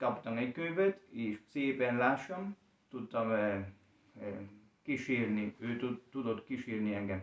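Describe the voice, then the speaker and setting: This man talks very slowly, with long, frequent pauses and a Spanish accent. His pitch is medium, and his intonation is lively. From Colombia. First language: Spanish (speaking Hungarian). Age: young. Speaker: language learner and teacher. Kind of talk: interview. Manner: halting.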